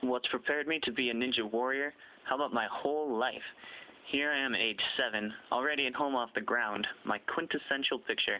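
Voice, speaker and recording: The pace runs fairly quick. It's a normal speaking voice, and the pitch varies in an ordinary way. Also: man, medium pitch for a man. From US Midwest (Zumbrota, Minnesota). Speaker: athlete applicant. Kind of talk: scripted narration.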